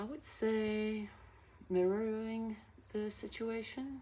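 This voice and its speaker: Soft-spoken and very slow, a woman talks in a dark, mellow tone with audible room echo. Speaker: tarot reader. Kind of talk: tarot reading. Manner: halting.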